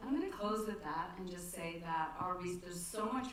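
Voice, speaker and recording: Ordinary pitch variation in fairly quick speech, with noticeable background noise and audible room echo. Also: woman. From Ireland, Dublin. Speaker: professor. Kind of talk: lecture with Q&A. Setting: lecture hall with audience. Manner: fast.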